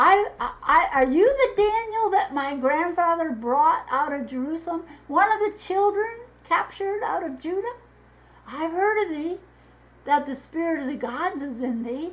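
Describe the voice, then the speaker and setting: The speaker uses a put-on character voice with very wide pitch swings. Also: woman, extremely high pitch for a woman, moderate pace. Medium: read story. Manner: stammering, anxious.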